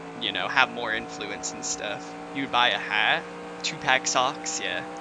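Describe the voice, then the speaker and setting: A man with an American accent at a fairly slow pace, with audible room echo and noticeable background noise. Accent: slight southern drawl at times. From California. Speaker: sim racing streamer. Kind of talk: live stream commentary. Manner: casual, rambling with fillers.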